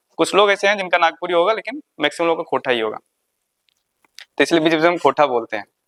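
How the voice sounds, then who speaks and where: The speaker talks with a Jharkhand accent, leaving long, frequent pauses. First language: Khortha (speaking Hindi). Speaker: exam coaching teacher. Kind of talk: lecture. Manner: repetitive dictation pace.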